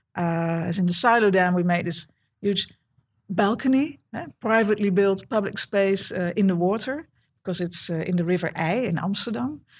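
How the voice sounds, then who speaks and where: With a Dutch accent, the speaker keeps a moderate pace and ordinary pitch variation. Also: woman, medium pitch for a woman. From Netherlands. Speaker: architect. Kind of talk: interview. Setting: office. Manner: halting, many fillers.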